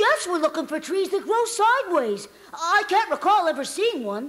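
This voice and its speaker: Someone uses a put-on character voice, extremely high in pitch, at a moderate pace. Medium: read story.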